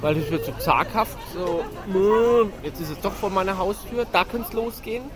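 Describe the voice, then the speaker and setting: A man speaks at a moderate pace while crowd noise fills the background. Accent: Franconian. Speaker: podcast co-host. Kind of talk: casual chat. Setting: outdoors at a Christmas market.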